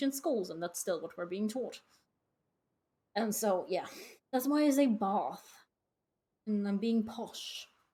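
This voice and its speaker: A woman speaks at a moderate pace, fairly high in pitch, with a dark, mellow, somewhat breathy tone. Her pitch varies in an ordinary way, and she takes long, frequent pauses. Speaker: gaming streamer. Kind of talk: casual live-stream chat while gaming. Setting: live stream.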